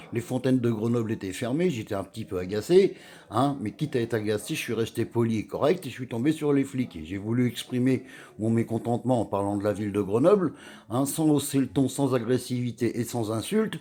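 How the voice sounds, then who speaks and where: With a dark, mellow tone, a man speaks fairly quickly at a medium pitch, with ordinary pitch variation. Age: 60s. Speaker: vlogger. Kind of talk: personal rant to camera. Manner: halting, with many hesitations.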